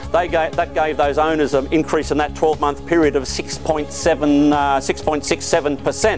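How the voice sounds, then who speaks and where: A man's voice at very even loudness, hardly any pauses, with music in the background. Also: moderate pace. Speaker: property auctioneer. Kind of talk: auctioneer's patter at a live property auction.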